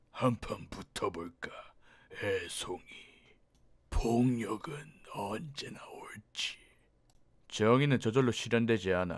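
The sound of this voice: A man puts on a character voice at a medium pitch, speaking at a fairly slow pace with long, frequent pauses.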